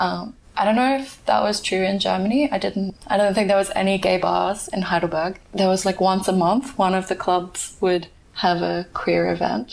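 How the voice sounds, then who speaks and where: In an Australian accent, a woman talks at a moderate pace. Her pitch is medium with ordinary variation. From Australia, Perth. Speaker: podcast guest, migrant. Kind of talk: interview, casual chat.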